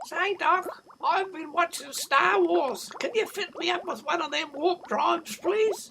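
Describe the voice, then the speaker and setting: A put-on character voice at an extremely high pitch, with hardly any pauses. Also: fairly slow pace. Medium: read story. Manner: casual, eager.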